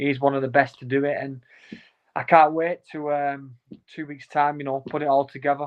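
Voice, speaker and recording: A man with a Lancashire accent talks at a fairly quick pace. His intonation is monotone and flat. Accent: Wigan. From Wigan, northern England. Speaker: professional boxer. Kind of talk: interview.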